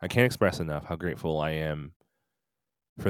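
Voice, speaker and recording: A man with an American accent speaks in a very deep, low pitch with ordinary pitch variation. His moderate pace comes through on a very clean recording with a silent background. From central Pennsylvania, US. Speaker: podcast host. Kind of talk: solo monologue to camera. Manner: unscripted, halting with fillers.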